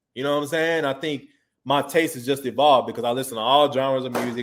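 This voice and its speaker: Talking very fast in a monotone, flat way, a man speaks with a Houston accent. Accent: Houston Texas American English. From Texas, Houston. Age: 30s. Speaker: recording artist and producer. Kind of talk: interview. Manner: casual.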